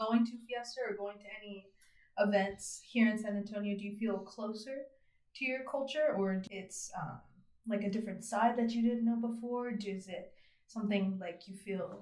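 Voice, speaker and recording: The speaker has an American accent, a dark, mellow tone, a somewhat breathy quality and fairly even intonation, with big swings in loudness and audible room echo. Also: woman. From Texas, Abilene. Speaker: podcast host. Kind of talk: interview.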